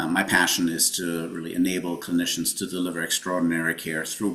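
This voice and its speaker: A man talks in a very deep, low voice against noticeable background noise. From Germany. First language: German. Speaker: health tech consultant, company founder. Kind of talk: webinar presentation. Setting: live webinar.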